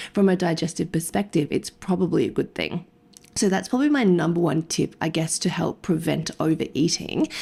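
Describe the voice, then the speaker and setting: A woman's fairly low, somewhat breathy voice in an Australian accent, dark and mellow in tone, fairly quick, with ordinary pitch variation. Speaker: nutrition podcast co-host, dietitian. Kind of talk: casual podcast chat. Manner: fast-talking.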